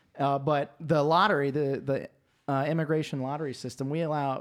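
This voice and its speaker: A man with a Southern US accent and fairly high pitch, on a very clean recording with a silent background. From US South. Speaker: podcast guest. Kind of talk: casual chat. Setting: studio.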